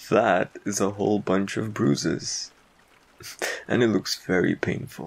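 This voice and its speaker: Putting on a croaky character voice, a man speaks at a fairly low pitch and fairly slow pace, with ordinary pitch variation and long, frequent pauses. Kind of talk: ASMR boyfriend roleplay. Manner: teasing, commanding.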